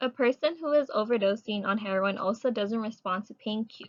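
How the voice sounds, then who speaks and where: Here is a woman with a normal speaking voice and a fairly high pitch. She talks at a fairly quick pace with ordinary pitch variation. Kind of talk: student presentation read.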